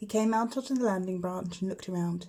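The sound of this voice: The voice has a dark, mellow tone, ordinary pitch variation, and a fairly quick pace. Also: woman, medium pitch for a woman.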